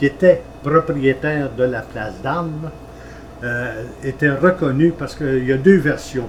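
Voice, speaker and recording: With noticeable background noise, the speech moves at a fairly slow pace and shows ordinary pitch variation. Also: man. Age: 80s+. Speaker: retired travelling salesman. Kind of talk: interview.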